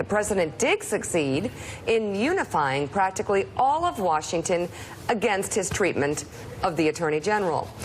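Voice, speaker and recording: Noticeable background noise accompanies a woman whose pitch swings very widely. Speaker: TV news co-host. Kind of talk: TV news opening monologue. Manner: smug, drawn-out.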